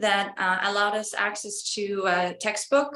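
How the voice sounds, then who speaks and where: In an Estonian accent, the voice speaks at a fairly slow pace with a bright, sharp tone. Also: woman. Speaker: college student. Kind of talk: interview. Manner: hesitant.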